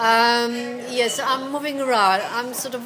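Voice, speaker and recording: Over noticeable background noise, a woman with a Polish accent speaks at a fairly high pitch. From Poland. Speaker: actress. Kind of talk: casual chat. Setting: in a pub. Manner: animated.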